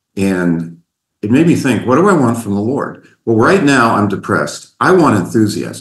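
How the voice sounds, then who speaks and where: Audible room echo surrounds a man with an American accent who talks at a moderate pace in a fairly low pitch, with very wide pitch swings. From US Midwest (southeastern Ohio, Appalachia). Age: 60s. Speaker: mentor, retired accountant. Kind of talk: casual chat.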